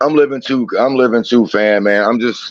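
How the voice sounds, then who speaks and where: A man with an American accent has a plain, everyday voice. He moves at a moderate pace with fairly even intonation. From Philadelphia, US. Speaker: podcast host. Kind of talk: casual livestream chat.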